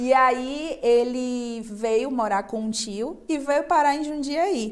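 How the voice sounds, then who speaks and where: Very slow, high-pitched female voice with a Bahian accent and ordinary pitch variation. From Brazil, Bahia (Salvador). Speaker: restaurant owner. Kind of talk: TV interview.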